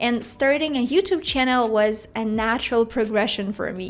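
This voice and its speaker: With a Russian accent, a woman speaks at a high pitch and a moderate pace with lively intonation over noticeable background noise. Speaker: YouTuber. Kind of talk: talking-head vlog.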